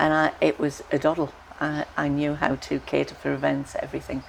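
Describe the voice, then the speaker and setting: A woman speaks at a moderate pace. Noticeable background noise runs beneath her. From northeast England, Sunderland. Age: 70s. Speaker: author. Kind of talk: life story interview. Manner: halting, with fillers and restarts.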